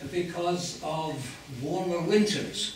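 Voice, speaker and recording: A man talks with ordinary pitch variation amid light background noise and audible room echo. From England. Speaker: glaciologist giving a public lecture. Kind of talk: lecture. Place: hall.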